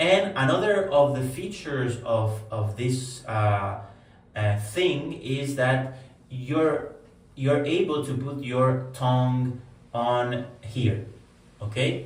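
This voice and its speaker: A man with a Spanish accent speaks very slowly at a medium pitch with ordinary pitch variation, over noticeable background noise and audible room echo. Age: adult. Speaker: wellness vlogger. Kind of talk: personal testimony. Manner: hesitant, many fillers.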